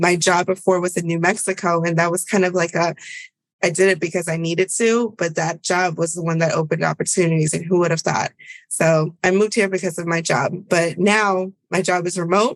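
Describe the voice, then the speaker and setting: Her Spanish accent clear, a woman talks at a fairly quick pace in a fairly low pitch with monotone, flat intonation. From Virginia, US (born in Bolivia). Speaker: public health advisor. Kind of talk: podcast interview.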